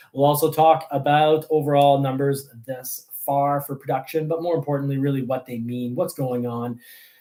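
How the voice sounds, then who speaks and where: The voice has a dark, mellow tone and monotone, flat intonation, moving at a moderate pace with hardly any pauses. The recording is very clean, with a silent background. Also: man, fairly high pitch for a man. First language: French. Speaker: car review youtuber. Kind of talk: livestream show intro. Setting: livestream.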